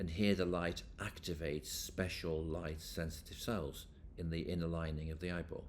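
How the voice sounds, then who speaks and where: Amid audible room echo, a man with a very deep, low pitch speaks at a moderate pace with fairly even intonation. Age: 60s. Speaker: professor. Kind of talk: lecture.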